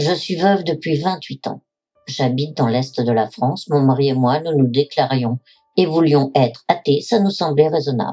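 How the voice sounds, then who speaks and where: With a dark, mellow tone, a woman speaks at a moderate pace in a very deep, low voice with ordinary pitch variation. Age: 70s. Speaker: widow giving religious testimony. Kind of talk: testimony. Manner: formal.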